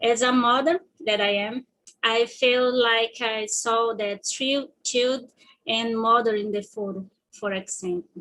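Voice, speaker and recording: A woman with a Portuguese accent talks at a fairly slow pace with a fairly high pitch, fairly even intonation, and long, frequent pauses. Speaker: student presenter. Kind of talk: presentation.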